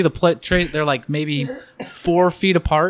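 With an American accent, a man speaks in a high voice at a moderate pace. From Oregon, US (Albany). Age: 40s. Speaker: podcast guest. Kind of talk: casual chat. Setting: church restroom.

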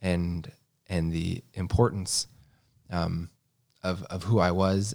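Speech comes at a very slow pace with an American accent, broken by long, frequent pauses. Intonation stays fairly even on a very clean recording with a silent background. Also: man. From US Midwest (Missouri). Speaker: podcast co-host sharing faith testimony. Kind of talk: personal testimony. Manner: halting, many fillers and repetitions.

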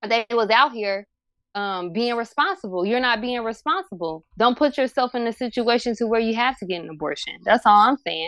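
In an ordinary speaking voice, a woman talks at a fairly quick pace with a fairly high pitch. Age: 20s. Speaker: podcaster. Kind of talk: casual chat.

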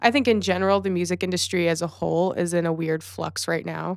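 On a very clean, dry and close recording with no echo and a silent background, a woman with a plain, everyday voice speaks at a medium pitch and a fairly quick pace with an American accent. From Los Angeles, US. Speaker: music event producer and talent buyer. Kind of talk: casual interview chat.

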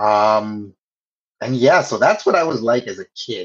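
Fairly slow and fairly even in intonation, a man with a Canadian accent speaks in an unremarkable speaking voice. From Canada, Toronto area. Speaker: communications professional and podcast co-host. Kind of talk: casual interview chat.

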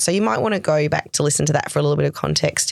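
A woman is speaking. She has an Australian accent. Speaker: nurse educator interviewing a student. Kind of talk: casual interview.

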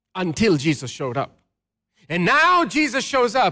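A man speaks in a raised, projected voice with a high pitch and a bright, sharp tone. The recording is very clean, with a silent background. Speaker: pastor. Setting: church. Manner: call-and-response.

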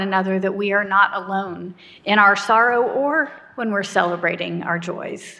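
In a normal speaking voice, a woman with a fairly high pitch talks at a fairly slow pace with ordinary pitch variation. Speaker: minister. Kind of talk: sermon and prayer, worship service. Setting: church. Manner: solemn, earnest, fervent prayer in a slow, heartfelt, hushed cadence.

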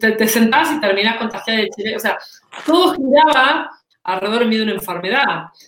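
Delivered at a fairly quick pace in a Rioplatense accent, the speech has lively intonation and audible room echo. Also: woman, fairly high pitch for a woman. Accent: Argentine Spanish (rioplatense). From Argentina. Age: 40s. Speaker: employer branding consultant and author. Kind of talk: interview.

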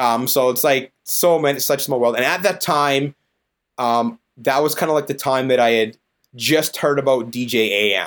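With a Canadian prairie accent, a man talks at a medium pitch. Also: ordinary pitch variation, moderate pace, very clean recording, silent background. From Saskatchewan, Canada. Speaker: DJ and business owner. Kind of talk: casual interview chat.

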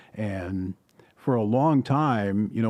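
This man has an unremarkable speaking voice, pitched in the middle range with ordinary pitch variation. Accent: American. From northern Wisconsin, Chippewa Falls. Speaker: sports broadcaster. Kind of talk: casual chat. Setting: studio.

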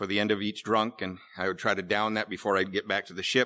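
A man with an American accent has a fairly low pitch and a bright, sharp tone. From US Pacific Northwest, Seattle. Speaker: AA speaker. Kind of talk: recovery talk.

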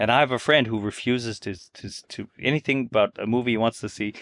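A man at a very fast pace with fairly even intonation. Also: dry, close sound with no echo. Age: 50s. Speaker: gaming blogger. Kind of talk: casual chat.

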